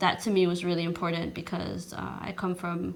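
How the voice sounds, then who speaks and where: Audible room echo surrounds a woman speaking at a moderate pace. Her intonation is monotone and flat. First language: not English. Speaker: social worker and poet. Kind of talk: interview. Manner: halting.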